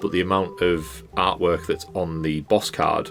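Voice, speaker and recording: A man's very deep, low voice with fairly even intonation, music playing in the background. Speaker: game designer and pixel artist. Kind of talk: casual voiceover commentary on a speedpaint. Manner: casual, rambling.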